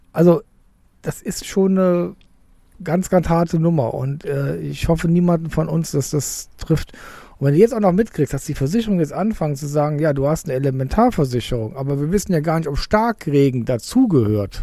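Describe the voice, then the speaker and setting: A man's dark, mellow voice at a fairly high pitch, with lively intonation at a moderate pace. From southern Cologne area. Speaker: football podcast co-host. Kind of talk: casual chat. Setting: outdoors in a garden under an umbrella.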